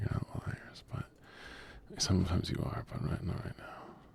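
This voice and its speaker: A whisper at a moderate pace, with noticeable background noise behind it. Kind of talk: casual livestream gaming chat. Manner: soft-spoken, low energy.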